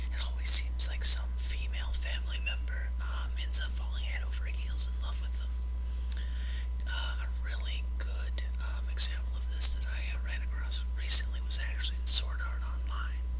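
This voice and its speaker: A relaxed whisper comes through, with noticeable background noise behind it. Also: moderate pace. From American. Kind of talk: ASMR ramble, casual talk to camera. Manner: whispered, relaxed; hesitant, many filler words.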